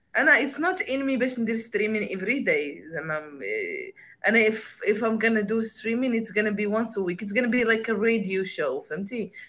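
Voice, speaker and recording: A woman with an ordinary speaking voice talks at a fairly quick pace, her fairly high pitch moving with ordinary variation. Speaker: podcaster and card game creator. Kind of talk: casual chat. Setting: livestream. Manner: code-switching Darija and English.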